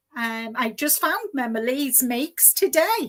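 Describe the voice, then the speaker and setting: A woman speaks very slowly. Her intonation is lively. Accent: slight Liverpool. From Liverpool, England (early years in Far East). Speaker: knitting podcaster. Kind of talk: casual livestream interview.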